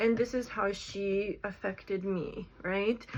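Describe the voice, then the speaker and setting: With a non-native accent, a woman talks at a very slow pace. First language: not English. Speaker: content creator talking about AI. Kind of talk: casual vlog monologue. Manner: hesitant, filler-heavy.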